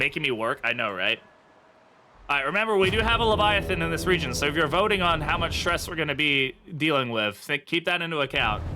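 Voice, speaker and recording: The speaker talks at a very fast pace in an English accent. The pitch moves in very wide swings. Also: man, fairly high pitch for a man. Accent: Americanized English. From United States. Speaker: streamer. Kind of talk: live gameplay commentary.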